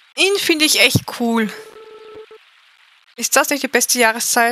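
A woman with a high pitch speaks at a fairly slow pace, her intonation lively. The sound is dry and close with no echo, and there is noticeable background noise. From Austria. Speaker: video game streamer. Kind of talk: live gameplay commentary. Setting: live stream.

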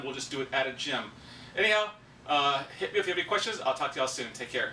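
Talking at a very fast pace with lively intonation, a man with a fairly high pitch is heard over light background noise and audible room echo. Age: 50s. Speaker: fitness coach. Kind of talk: casual vlog update. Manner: casual with fillers. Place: home room. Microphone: camera far.

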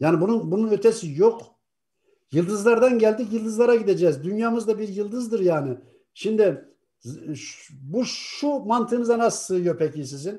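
A man talks at a moderate pace against a quiet background. His high-pitched voice has a dark, mellow tone. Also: lively intonation. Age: 60s. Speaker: atheist YouTuber. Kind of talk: casual discussion. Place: home room. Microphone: video call.

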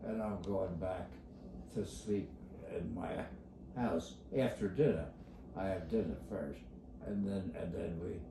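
With long, frequent pauses, a man talks at a very slow pace in a very deep, low pitch with lively intonation, amid noticeable background noise and audible room echo. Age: 80s+. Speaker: elderly man talking about his routine. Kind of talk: casual rambling talk. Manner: rambling, repetitive. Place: home room. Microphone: phone near.

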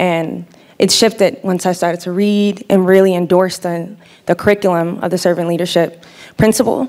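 A woman with an American accent speaks at a fairly quick pace with fairly even intonation. The background is quiet. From US Midwest. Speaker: spiritual care worker and former basketball player; panelist. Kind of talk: onstage interview; panel discussion answer. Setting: stage with audience. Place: stage. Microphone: handheld.

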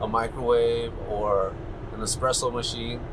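A man talks at a fairly slow pace with ordinary pitch variation. Music plays in the background. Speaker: family road trip vlogger. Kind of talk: casual vlog chat. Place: car. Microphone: lapel.

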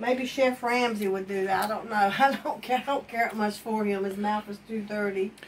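At a moderate pace, a woman speaks at medium pitch with fairly even intonation.

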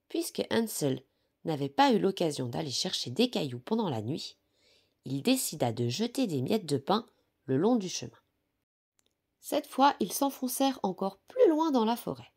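Fairly slow, calm, gentle speech with long, frequent pauses on a very clean recording with a silent background. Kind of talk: bedtime story reading aloud. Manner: soft, calm, gentle storyteller pace; warm, affectionate tone toward young children.

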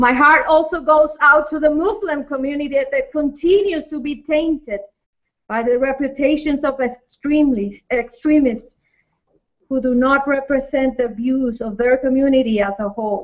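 At a fairly slow pace, a woman talks with a high pitch and ordinary pitch variation. The background is quiet. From Latin American heritage. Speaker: pastor. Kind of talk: fervent spoken prayer for mass-shooting victims. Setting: online multifaith vigil gathering. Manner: hesitant, repeating words before the prayer; impassioned, rhythmic repetition during prayer. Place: studio.

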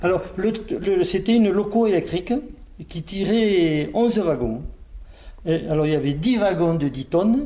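At a fairly slow pace, a man speaks with a high pitch and lively intonation. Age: 60s. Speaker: retired miner. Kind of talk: interview testimony. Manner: halting, with repetitions.

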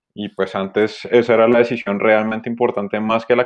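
A man talks fairly quickly in a medium pitch, his intonation flat and monotone. The background is quiet. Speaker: workshop host. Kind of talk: live stream hosting. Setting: live video stream. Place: home room. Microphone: connection drops; video call.

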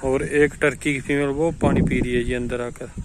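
Keeping to a medium pitch with little pitch movement, a man talks at a moderate pace.

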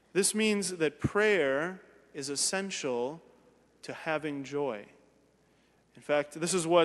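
With ordinary pitch variation, a man talks at a very slow pace. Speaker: priest. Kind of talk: sermon. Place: church.

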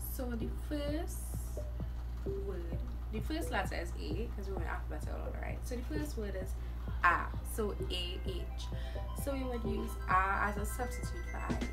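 A woman in a Trinidadian accent at a moderate pace, with long, frequent pauses and clear music in the background. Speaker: vlogger. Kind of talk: casual talk to camera. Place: home room. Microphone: phone near.

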